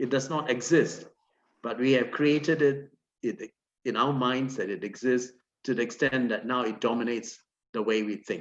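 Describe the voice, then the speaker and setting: A man speaks at a fairly slow pace with a medium pitch and ordinary pitch variation. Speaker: academic panelist. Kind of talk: panel discussion.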